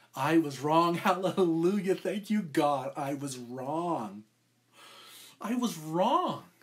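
This man's voice sits high in pitch. He talks at a very slow pace. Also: lively intonation, quiet background. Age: 50s. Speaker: podcast co-host and preacher; pastor. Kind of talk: sermon. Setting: live stream. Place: home room. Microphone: webcam.

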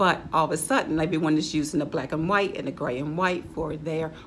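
A woman's very deep, low voice at a very fast pace, with light background noise. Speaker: home decor vlogger. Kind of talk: casual vlog chat. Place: home room. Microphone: camera far.

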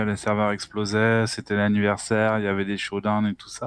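The man's fairly low voice moves at a moderate pace, and the sound is dry with no echo. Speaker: gamer. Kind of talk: casual chat. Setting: video call. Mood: relaxed, amused. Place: home room. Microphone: headset.

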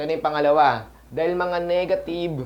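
The man talks at a fairly quick pace. Audible room echo surrounds his voice. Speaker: network marketing coach. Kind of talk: tutorial. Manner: halting.

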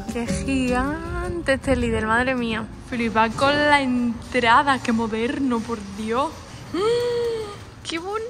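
Over clear music in the background, a woman speaks at a very slow pace, with a high pitch and ordinary pitch variation. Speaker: food vlogger. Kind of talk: casual vlog chat. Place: shop. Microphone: phone near.

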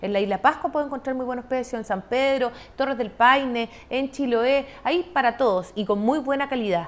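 A woman talks high in pitch at a moderate pace, with hardly any pauses. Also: ordinary pitch variation. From southern Chile, Los Lagos region. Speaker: government tourism official; guest. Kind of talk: broadcast interview; interview answer. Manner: hesitant with many fillers. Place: studio. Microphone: lapel.

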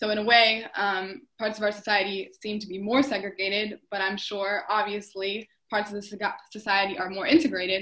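A woman speaks with an American accent in a monotone, flat intonation, her loudness swinging widely. The background is quiet. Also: moderate pace, hardly any pauses. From US South. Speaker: dance student; panelist. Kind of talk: panel discussion; panel discussion question. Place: home room. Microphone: video call.

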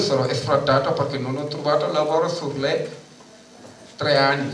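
Light background noise and audible room echo surround the recording. A man speaks with a fairly high pitch. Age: 50s. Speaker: tenants' union delegate. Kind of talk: conference speech. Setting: stage with audience. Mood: indignant, earnest. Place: hall.

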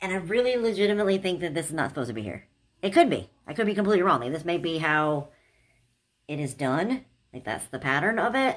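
Against a quiet background, a woman speaks very fast in a fairly low pitch with very wide pitch swings. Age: 40s. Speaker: YouTuber, clothing haul vlogger. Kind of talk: casual haul video monologue. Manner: animated. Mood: doubtful, musing. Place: home room.

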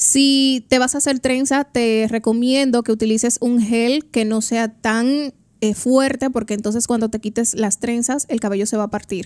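A woman talks at a fairly high pitch and a fairly slow pace with fairly even intonation. The background is quiet, and the sound is dry with no echo. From Dominican Republic. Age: 20s. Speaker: trichologist and hair stylist; guest. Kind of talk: radio interview. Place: studio. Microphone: studio mic.

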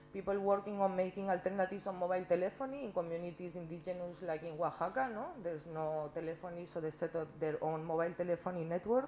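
The speech runs at a very fast pace over light background noise. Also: woman. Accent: Catalan. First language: Catalan. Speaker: activist and symposium panelist. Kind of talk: conference panel talk. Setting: stage with audience. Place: meeting room. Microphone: podium.

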